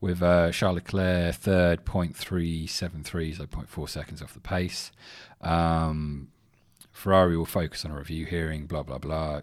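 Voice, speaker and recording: With an English accent, a man with a very deep, low pitch speaks at a moderate pace in monotone, flat intonation on a very clean recording with a silent background. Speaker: podcast host. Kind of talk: casual solo sports chat. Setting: home studio.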